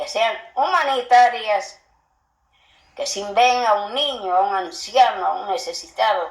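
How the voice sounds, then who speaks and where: A woman with a fairly high pitch, a very slow pace, long, frequent pauses and big swings in loudness. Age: 80s+. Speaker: grandmother sharing family memories. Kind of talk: oral history testimony.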